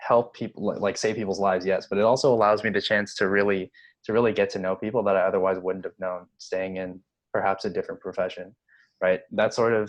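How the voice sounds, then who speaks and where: Talking at a fairly quick pace, a man uses a fairly low pitch and fairly even intonation. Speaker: nursing student and club president. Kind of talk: casual podcast interview. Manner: halting, with many repeated words.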